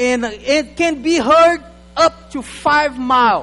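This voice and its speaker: Male voice against noticeable background noise. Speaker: guest preacher. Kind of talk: sermon. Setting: church. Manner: animated.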